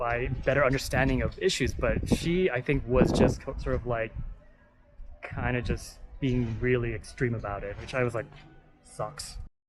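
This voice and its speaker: With music playing in the background, a man speaks at a moderate pace in an American accent. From United States. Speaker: travel vlogger. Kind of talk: casual vlog monologue. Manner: casual, filler-heavy.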